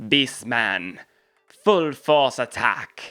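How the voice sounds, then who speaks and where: This is a put-on character voice at a low-to-middle pitch. Faint music plays in the background. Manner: commanding, giving an order.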